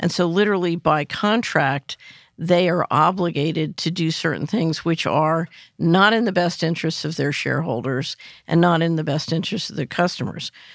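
The recording is very clean, with a silent background, and a woman with an American accent speaks in an unremarkable speaking voice. Her pitch is fairly low, her pace moderate, with ordinary pitch variation. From US Northeast, West Philadelphia. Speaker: financial analyst and former government official. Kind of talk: interview.

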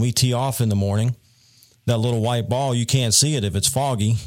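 A man with a Southern US accent speaks at a medium pitch with fairly even intonation. The recording is very clean, with a silent background. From North Carolina Piedmont. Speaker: meteorologist. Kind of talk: interview.

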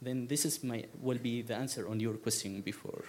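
A man with an Arabic accent speaks at a moderate pace. His pitch is medium. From Syria. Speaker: documentary filmmaker. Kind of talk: panel discussion. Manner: halting.

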